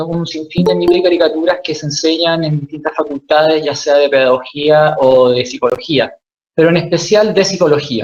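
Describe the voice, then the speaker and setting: Music plays in the background as the speech moves at a moderate pace, its pitch varying in an ordinary way. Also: man. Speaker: author and psychoanalysis lecturer. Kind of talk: lecture.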